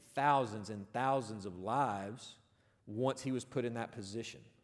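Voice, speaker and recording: A man speaks with ordinary pitch variation in a space with audible room echo. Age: 30s. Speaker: football coach and chapel speaker. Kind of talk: sermon.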